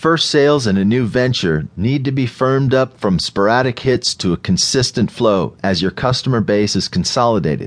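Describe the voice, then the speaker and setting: A man's unremarkable speaking voice at medium pitch, with lively intonation, very even loudness and a moderate pace. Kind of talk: audiobook narration. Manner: formal, measured; even, businesslike reading.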